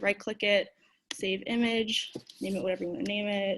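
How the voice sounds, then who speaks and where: A woman's medium-pitched voice in a monotone, flat intonation. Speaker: software instructor. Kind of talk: tutorial. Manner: fast.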